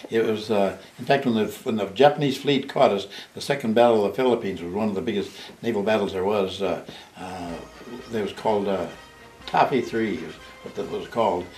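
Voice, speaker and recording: Through noticeable background noise and audible room echo, a man with a fairly low pitch talks at a very fast pace with ordinary pitch variation. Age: 80s+. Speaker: war veteran. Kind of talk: oral history interview. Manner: halting.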